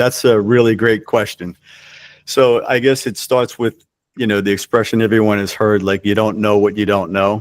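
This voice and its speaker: On a very clean recording with a silent background, a man speaks in an ordinary speaking voice at a moderate pace, with a fairly low pitch and fairly even intonation. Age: 60s. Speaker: cooking school co-founder and franchisor. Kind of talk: interview conversation.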